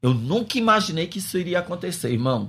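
In a very clean recording with a silent background, a man's somewhat breathy voice moves through very wide pitch swings. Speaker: pastor and missionary. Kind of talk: interview testimony.

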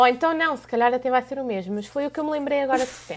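A woman speaks with a European Portuguese accent at a high pitch. Her pitch varies in an ordinary way, and the recording is very clean with a silent background. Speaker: podcast co-host. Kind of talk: casual chat.

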